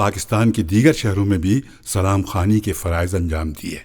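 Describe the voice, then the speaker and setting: A man's fairly low voice, an ordinary speaking voice, on a very clean recording with a silent background. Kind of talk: documentary interview answer.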